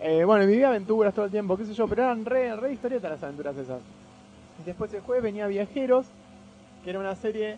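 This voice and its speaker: With high pitch and an animated tone, a man talks at a very fast pace using lively intonation, broken by long, frequent pauses. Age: 30s. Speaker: comics fan guest. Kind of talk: casual chat.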